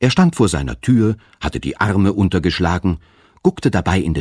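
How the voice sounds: This clip features a natural reading voice.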